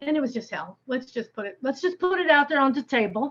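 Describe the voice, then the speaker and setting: A woman speaks with an American accent. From US Northeast, upstate New York. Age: 60s. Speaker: amateur painter, workshop participant. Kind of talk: casual chat.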